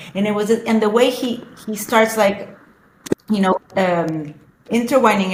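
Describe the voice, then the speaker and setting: With a Spanish accent, a woman speaks at a moderate pace in a fairly high pitch, with ordinary pitch variation. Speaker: social media influencer. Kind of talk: casual chat. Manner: halting.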